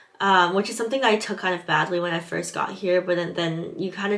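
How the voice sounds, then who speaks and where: In a Californian accent, a woman talks. Noticeable background noise is present. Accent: Californian American English. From Southern California. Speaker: English teaching assistant, vlogger. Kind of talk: vlog advice talk, partly read from notes.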